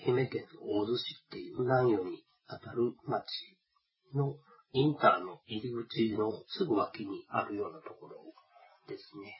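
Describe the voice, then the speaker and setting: The speech moves at a fairly slow pace with big swings in loudness. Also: man. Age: 40s. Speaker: podcast host. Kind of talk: casual monologue. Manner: hesitant, many fillers.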